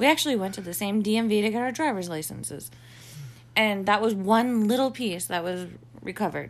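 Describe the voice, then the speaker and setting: A woman with an unremarkable speaking voice, ordinary pitch variation, and a fairly quick pace. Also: medium pitch for a woman. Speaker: podcast host. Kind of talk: casual chat. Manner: joking.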